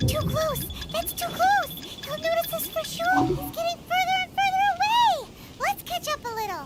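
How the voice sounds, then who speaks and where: A put-on, squeaky character voice at an extremely high pitch goes at a moderate pace over light background noise. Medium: video game. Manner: brash, teasing.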